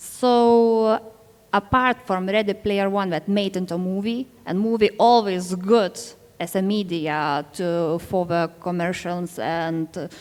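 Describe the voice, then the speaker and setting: Speaking very slowly in a Lithuanian accent, a woman keeps a medium pitch with ordinary pitch variation. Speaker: novelist. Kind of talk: panel discussion. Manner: halting.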